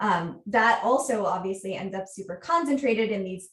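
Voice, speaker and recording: This woman has an American accent and a fairly high pitch. She speaks somewhat breathily at a fairly quick pace. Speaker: researcher. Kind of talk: conference talk.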